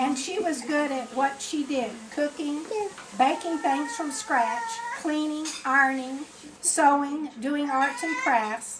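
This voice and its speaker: With an American accent, a woman speaks very slowly at a high pitch with ordinary pitch variation, amid audible room echo and noticeable background noise. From Florida. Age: 70s. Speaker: grandmother telling family history. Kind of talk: reading aloud. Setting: birthday party with family.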